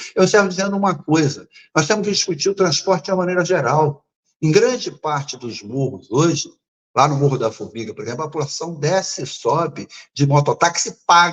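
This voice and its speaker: With lively intonation, a man speaks at a fairly quick pace in a high pitch. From Rio de Janeiro, Brazil. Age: 70s. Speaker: political candidate. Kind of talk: interview. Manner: formal.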